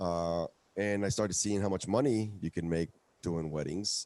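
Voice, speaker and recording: A man with a Spanish accent speaks in a very deep, low voice with a dark, mellow tone and ordinary pitch variation, recorded with a dry, close sound and no echo. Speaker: musician. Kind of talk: interview. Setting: live stream broadcast.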